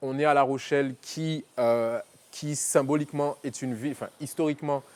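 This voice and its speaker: A man's fairly high voice in a monotone, flat intonation, at a moderate pace. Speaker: film director and slam poet. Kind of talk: interview. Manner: halting.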